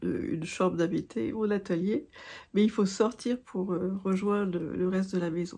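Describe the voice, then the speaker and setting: At a moderate pace, a woman speaks at medium pitch with ordinary pitch variation, a dark, mellow tone and vocal fry, against a quiet background. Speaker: craft vlogger. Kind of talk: casual chat. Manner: halting.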